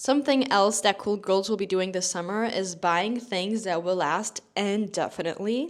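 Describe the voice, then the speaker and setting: With a non-native accent, a woman speaks at a moderate pace with hardly any pauses, her medium pitch moving with ordinary variation. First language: not English. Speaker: fashion youtuber. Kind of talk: casual vlog talk to camera. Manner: chatty, informal.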